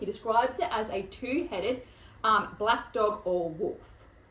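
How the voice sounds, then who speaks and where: With an Australian accent, a woman speaks at a moderate pace in a fairly high pitch, her tone animated and her intonation lively. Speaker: podcast host. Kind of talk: casual chat.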